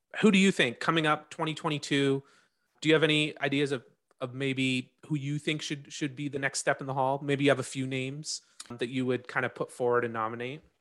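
At a fairly quick pace, a man with a normal speaking voice and fairly high pitch talks with fairly even intonation. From Canada. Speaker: podcast host. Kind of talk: casual interview.

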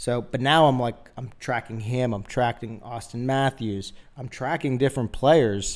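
In a very clean recording with a silent background, a man with a normal speaking voice talks fairly slowly at a medium pitch, his intonation fairly even. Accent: American. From Philadelphia, US. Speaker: sports podcast host. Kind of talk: casual chat. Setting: studio.

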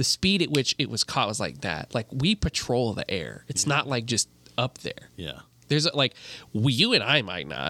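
A man with an American accent, medium pitch, a bright, sharp tone and vocal fry, with very wide pitch swings, in a dry, close sound with no echo on a very clean recording with a silent background. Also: moderate pace. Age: 20s. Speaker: video producer. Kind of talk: casual chat.

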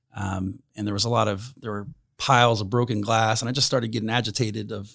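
Recorded very cleanly with a silent background, a man with a Midwestern US accent talks at a fairly quick pace with a medium pitch and fairly even intonation. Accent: US Midwest. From Indiana, Grant County area. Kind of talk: casual interview.

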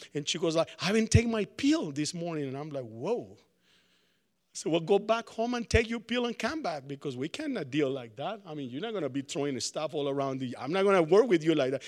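A man with a Spanish accent talks at a fairly quick pace. His loudness swings widely on a very clean recording with a silent background. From Colombia. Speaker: preacher. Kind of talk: sermon. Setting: college chapel with audience. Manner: casual, hesitant with fillers.

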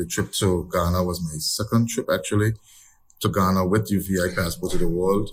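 Somewhat breathy and very deep, a man's low voice holds a fairly even intonation. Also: moderate pace. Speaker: travel group member. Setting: remote call from abroad.

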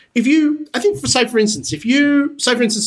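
A man with an Australian accent over noticeable background noise. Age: 40s. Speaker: TV producer. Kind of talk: casual chat.

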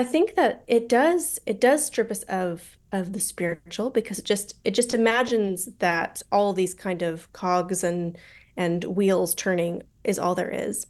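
Against a quiet background, a woman with an American accent speaks fairly slowly at a medium pitch with ordinary pitch variation. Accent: American, general. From Colorado, US. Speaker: author and university lecturer. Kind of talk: interview discussion.

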